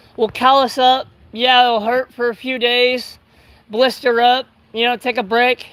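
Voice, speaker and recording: The speaker uses a raised, projected voice with a bright, sharp tone and an American accent. The pace is fairly slow. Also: man. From California. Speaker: livestreamer doing yard work. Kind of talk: casual live stream chat. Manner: loud; halting, filler-heavy.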